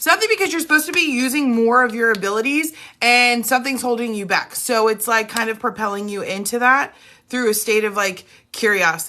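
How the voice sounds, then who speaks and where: Loud and animated, the voice has a bright, sharp tone and lively intonation. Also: woman, fairly high pitch for a woman, fairly quick pace. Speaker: spiritual reader. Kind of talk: live stream chat.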